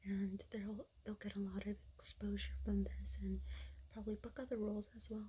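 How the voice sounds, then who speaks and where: A soft-spoken voice, whispering throughout. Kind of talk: ASMR soft spoken ramble, casual chat to camera. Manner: soft-spoken, whispering, lo-fi.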